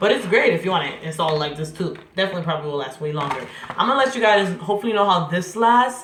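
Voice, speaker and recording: A woman talks very fast in a medium pitch, her tone animated and her intonation lively. Room echo is audible, along with noticeable background noise. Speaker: hair vlogger. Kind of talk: tutorial.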